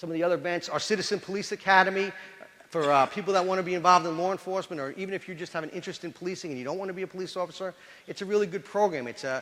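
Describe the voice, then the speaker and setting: Very fast and animated, a man speaks at high pitch. He has a New York accent. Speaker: police chief. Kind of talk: lecture.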